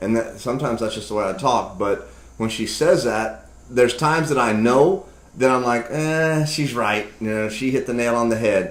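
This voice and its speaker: Room echo is audible as a man talks at a moderate pace. His pitch is medium, with ordinary variation. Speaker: marriage video host. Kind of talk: casual chat. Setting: home kitchen studio. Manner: abrupt.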